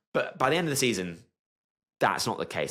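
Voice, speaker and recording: A man speaks in an animated tone on a very clean recording with a silent background. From Britain. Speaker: sports analyst youtuber. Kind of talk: commentary video monologue.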